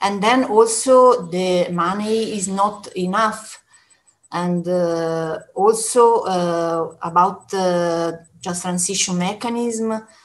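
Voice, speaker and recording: A woman speaks at a very slow pace. Her pitch varies in an ordinary way. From Italy. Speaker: trade union official; speaker. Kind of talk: panel discussion; panel discussion remarks. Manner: halting. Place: home room. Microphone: webcam.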